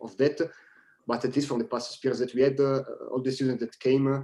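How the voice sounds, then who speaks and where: A man's medium-pitched voice has a dark, mellow tone. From Italy. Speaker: engineering school staff. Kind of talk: online presentation Q&A. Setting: video conference. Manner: halting, many fillers.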